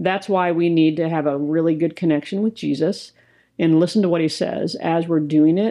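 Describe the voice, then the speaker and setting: A woman with a fairly low pitch speaks in a normal speaking voice at a moderate pace, with ordinary pitch variation and very even loudness. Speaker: co-host, ministry co-founder. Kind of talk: casual podcast conversation.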